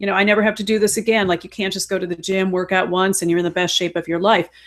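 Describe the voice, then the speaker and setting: Talking at a very fast pace, a woman with a slight Chicago accent keeps a flat, monotone intonation. Her pitch is medium. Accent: slight Chicago Midwest. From Chicago, US Midwest. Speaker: health and fitness coach. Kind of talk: casual chat.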